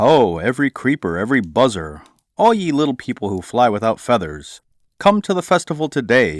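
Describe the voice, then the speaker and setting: A booming, raised and projected put-on character voice from a man of medium pitch, with very wide pitch swings and a fairly quick pace, on a very clean recording over a silent background. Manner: loud, announcing.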